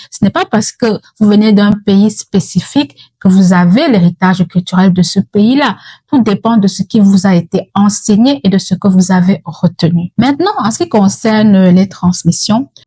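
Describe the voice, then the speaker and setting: Woman with a Cameroonian accent, medium pitch, a dark, mellow, somewhat breathy tone, ordinary pitch variation, very even loudness and a fairly slow pace, in a dry, close sound with no echo. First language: Yemba (speaking French). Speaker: mental health educator. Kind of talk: educational talk.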